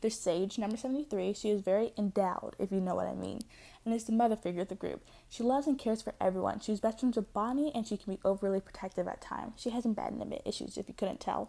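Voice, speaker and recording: At a very fast pace, a woman speaks with a fairly high pitch, a dark, mellow tone, vocal fry and ordinary pitch variation. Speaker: casting call announcer, animation project creator. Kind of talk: reading a script. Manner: fast, rushed.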